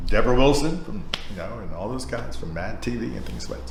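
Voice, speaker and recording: Amid noticeable background noise and audible room echo, the voice moves at a fairly quick pace with very wide pitch swings. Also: man. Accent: American. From Philadelphia area, US. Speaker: talk show host. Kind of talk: casual interview chat. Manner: animated.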